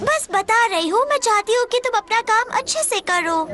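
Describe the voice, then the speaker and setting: Against clear background noise, a female-sounding voice performs a put-on character voice at an extremely high pitch. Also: moderate pace. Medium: fan dub. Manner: gentle, advising.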